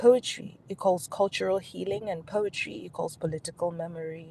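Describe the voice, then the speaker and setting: Somewhat breathy, a woman's voice moves through ordinary pitch variation. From Nigeria. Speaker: performance poet and advocate. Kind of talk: keynote speech on poetry and health advocacy.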